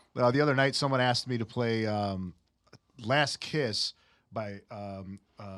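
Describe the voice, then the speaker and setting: At a fairly slow pace, a man talks in a medium pitch with ordinary pitch variation. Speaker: music show host and musician. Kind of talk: casual interview. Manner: rambling, with tangents.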